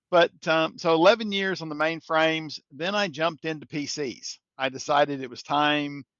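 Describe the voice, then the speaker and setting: At a moderate pace with hardly any pauses, a man with a slight Kentucky accent and a fairly high pitch speaks with ordinary pitch variation and big swings in loudness, the sound dry and close with no echo against a quiet background. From Kentucky, US. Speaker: software integration expert. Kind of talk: podcast interview.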